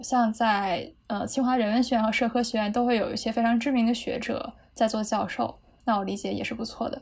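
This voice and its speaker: Recorded very cleanly against a silent background, a woman speaks with a high pitch at a moderate pace. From Beijing, China. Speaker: psychology graduate. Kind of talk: casual chat.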